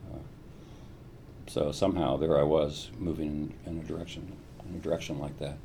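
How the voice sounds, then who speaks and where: A man speaks at a very deep, low pitch with a dark, mellow, somewhat breathy tone and fairly even intonation. His delivery has long, frequent pauses, and audible room echo surrounds it. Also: moderate pace. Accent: American. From US Midwest (Columbus, Ohio). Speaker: neuroscientist. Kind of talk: interview. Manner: hesitant, frequent fillers and repetitions.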